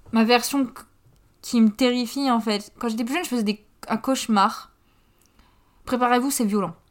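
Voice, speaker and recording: A woman at high pitch with fairly even intonation, moderate pace and long, frequent pauses, in a very clean recording with a silent background. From northern France, Pas-de-Calais. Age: 20s. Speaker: podcaster. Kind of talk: casual monologue. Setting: home.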